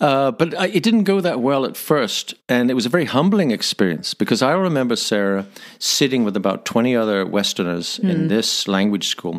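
A man talks with a Northern Irish accent at a fairly quick pace. His pitch sits in the medium range but swings very widely. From Northern Ireland. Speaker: missionary, former corporate jet pilot. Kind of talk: podcast interview answer, storytelling.

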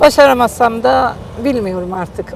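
There is noticeable background noise. A woman speaks at a moderate pace. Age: 70s. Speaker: grandmother learning to drive. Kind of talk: interview answer.

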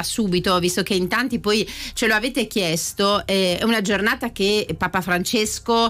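A woman speaks at a moderate pace in a bright, sharp tone. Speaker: radio host. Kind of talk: casual chat. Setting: studio. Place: studio. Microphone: studio mic.

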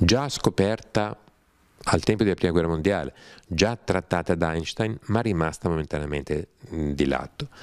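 The voice has lively intonation and a moderate pace. The background is quiet. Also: man, very deep, low pitch for a man. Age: 60s. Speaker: writer and scholar of religions; interviewee. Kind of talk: interview talk. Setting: studio without audience. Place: home room. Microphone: handheld.

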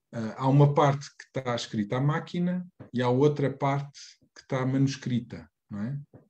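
A man speaks at a moderate pace in a dark, mellow, somewhat breathy tone with big swings in loudness. His pitch is fairly high, with ordinary variation. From Portugal. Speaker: reading group moderator; presenter. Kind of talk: moderated discussion; lecture. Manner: halting. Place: home room. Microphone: video call.

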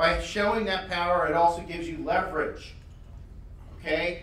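There is audible room echo around this man. His pitch is high and his intonation fairly even. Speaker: conference presenter. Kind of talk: conference talk. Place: hall.

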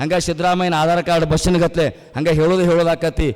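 Against noticeable background noise, a man speaks at a high pitch with monotone, flat intonation. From Karnataka, Bijapur district (Honavada village). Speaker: travelling religious speaker. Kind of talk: religious discourse speech.

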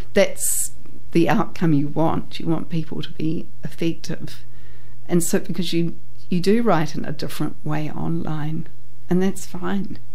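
Using a New Zealand accent, a woman talks at a fairly slow pace. Her pitch is fairly low and her intonation fairly even. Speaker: etiquette and protocol teacher. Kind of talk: radio interview, polite explanatory talk. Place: studio.

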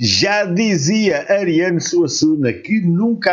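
A man speaks with a European Portuguese accent. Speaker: YouTube reaction channel host. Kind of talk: video reaction commentary.

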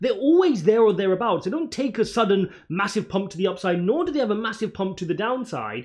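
Lively intonation from a man, set against a quiet background. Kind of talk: commentary. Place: home room.

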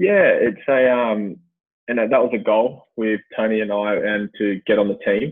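With an Australian accent, a man speaks at a fairly slow pace. The background is quiet. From Australia, Western Sydney (Blacktown); New South Wales, Australia. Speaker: former Olympic swimmer and swim coach; swim coach. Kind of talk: casual chat. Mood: relaxed, reflective. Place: office. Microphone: earbuds.

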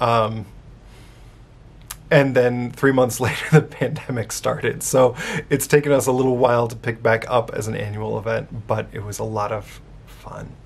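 A man's voice with vocal fry, long and frequent pauses, big swings in loudness and fairly even intonation. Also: moderate pace. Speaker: Unitarian minister. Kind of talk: casual talk to camera, church video update. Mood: warm, upbeat. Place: office. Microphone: phone near.

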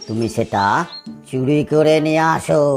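A cartoonish character voice at a low-to-middle pitch plays out over clear music in the background. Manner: sly, knowing.

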